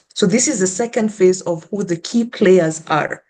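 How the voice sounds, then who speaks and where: Dark and mellow, a woman's voice sits at a medium pitch with ordinary pitch variation. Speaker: panelist, researcher and activist. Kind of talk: panel discussion. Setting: online virtual event with interpretation. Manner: deliberately slow with pauses.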